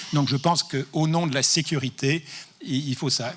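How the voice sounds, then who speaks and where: His pitch sits fairly high for a man. The speaker varies it in an ordinary way. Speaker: professor and anti-tobacco expert. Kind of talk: conference talk. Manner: fast.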